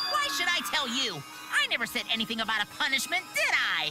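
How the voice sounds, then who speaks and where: Someone rattles off lines at a very fast pace in a put-on character voice. Loud background noise fills the recording. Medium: fan dub. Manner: gleeful, taunting.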